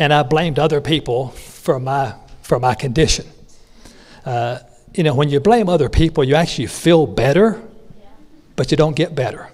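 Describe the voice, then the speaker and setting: With a North Carolina accent, a man speaks in a somewhat breathy voice with ordinary pitch variation and long, frequent pauses. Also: fairly high pitch for a man, moderate pace. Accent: Southern US (North Carolina). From North Carolina, rural. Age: 60s. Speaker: business speaker. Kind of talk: motivational speech. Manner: conversational, with many fillers.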